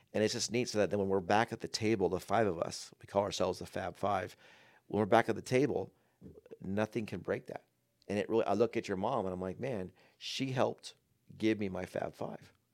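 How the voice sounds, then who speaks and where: The pace is fairly quick and the intonation fairly even, in an unremarkable speaking voice. The recording is very clean, with a silent background. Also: man, fairly low pitch for a man. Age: 40s. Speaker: father of the host, health field worker. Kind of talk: casual chat. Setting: home podcast studio.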